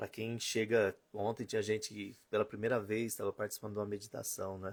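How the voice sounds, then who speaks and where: A man speaks at a fairly quick pace in a fairly low voice. His intonation stays flat and monotone. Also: very clean recording, silent background. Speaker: spiritual teacher. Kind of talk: live stream talk. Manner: fast.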